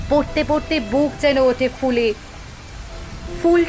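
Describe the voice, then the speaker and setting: A woman speaks at a high pitch with lively intonation. There is noticeable background noise. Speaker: poetry reciter. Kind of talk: poetry reading.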